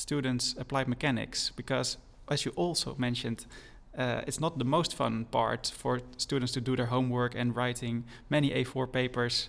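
A man speaks at a moderate pace with a Dutch accent. His medium-pitched voice stays flat and monotone. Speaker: podcast host. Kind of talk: interview.

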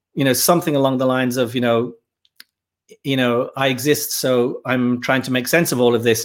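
A man with a Dublin accent at a medium pitch and moderate pace. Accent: Dublin Irish. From Ireland, Dublin. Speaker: filmmaker. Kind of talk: casual chat.

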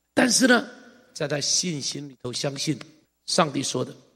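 A man with a fairly high pitch and vocal fry talks at a moderate pace with ordinary pitch variation. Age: 60s. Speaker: pastor. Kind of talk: sermon. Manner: animated.

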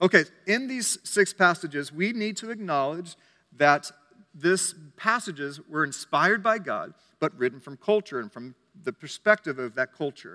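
A man with a high pitch and a bright, sharp tone raises and projects his voice with lively intonation, in a dry, close sound with no echo. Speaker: preacher. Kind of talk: sermon. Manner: fast.

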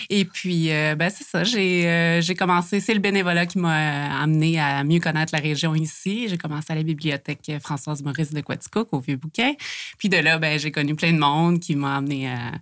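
This woman's voice sits very deep and low in pitch. Her pitch varies in an ordinary way. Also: moderate pace. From Quebec, Montérégie. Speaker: library volunteer. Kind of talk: casual interview chat.

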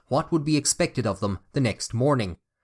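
Speaking at a fairly quick pace in a serious tone, a man with an Irish accent and a medium pitch shows ordinary pitch variation in a very clean recording with a silent background. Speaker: podcast host and narrator. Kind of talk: history documentary narration. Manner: formal, measured, storytelling delivery; serious, even-paced.

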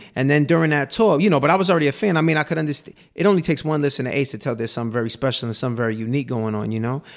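A man with an American accent, fairly high in pitch, racing along at a very fast pace with lively intonation and hardly any pauses, on a very clean recording with a silent background. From New York City. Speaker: rapper. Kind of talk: radio interview chat. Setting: radio studio.

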